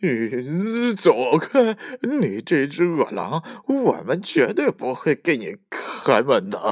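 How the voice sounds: A man speaks slowly in a put-on character voice, his medium pitch swinging very widely up and down.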